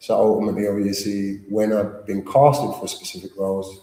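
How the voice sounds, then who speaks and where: Speaking at a very fast pace, the man has a fairly low pitch and a slight Cockney accent. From London. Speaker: actor. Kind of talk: interview.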